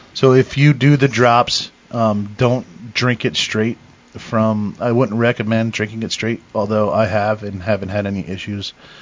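A man's unremarkable speaking voice, medium in pitch, at a fairly slow pace with hardly any pauses. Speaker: cider maker, home-brew supplier. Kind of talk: casual chat.

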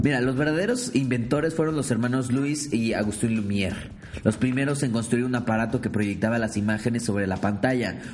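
A man with a Mexican accent at a fairly quick pace and ordinary pitch variation, with audible room echo and noticeable background noise. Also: medium pitch for a man. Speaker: podcast host. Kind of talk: casual chat; reading aloud.

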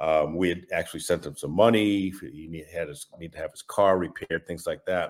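Talking at a fairly quick pace with hardly any pauses, a man with an American accent makes big swings in loudness. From New England (Massachusetts). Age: 60s. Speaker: estranged father sharing his story. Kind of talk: personal testimony interview. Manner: halting, many fillers and repetitions.

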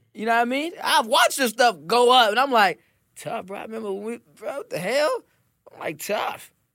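Projecting a raised voice at an extremely high pitch, a man talks at a fairly quick pace with lively intonation and a bright, sharp tone on a very clean recording with a silent background. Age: 20s. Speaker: R&B singer. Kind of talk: casual chat.

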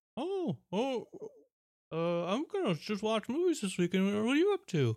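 The speaker does a put-on character voice at a fairly high pitch. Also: moderate pace, very clean recording, silent background.

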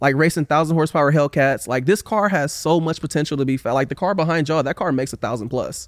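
A man's fairly high voice with an American accent, very fast pace and ordinary pitch variation, on a very clean recording with a silent background. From Oakland, California (Bay Area). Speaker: car builder and drifter, YouTuber. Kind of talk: casual chat.

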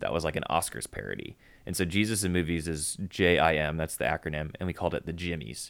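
At a very fast pace, a man with an American accent talks in a very deep, low pitch with vocal fry, on a very clean recording with a silent background. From Chicago. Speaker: youth ministry worker. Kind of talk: casual chat.

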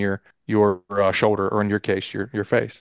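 The man's voice is fairly low. The sound is dry and close with no echo, and the background is quiet. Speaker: podcast co-host, hunter. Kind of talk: casual chat.

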